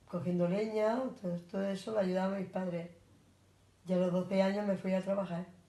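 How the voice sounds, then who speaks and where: A somewhat breathy, dark and mellow voice in a flat monotone at a fairly quick pace, broken by long, frequent pauses. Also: woman, medium pitch for a woman. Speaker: grandparent interviewee. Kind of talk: interview.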